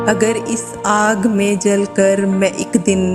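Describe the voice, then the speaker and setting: Music plays in the background while a woman speaks. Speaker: narrator. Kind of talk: poetry reading. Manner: sad, emotional.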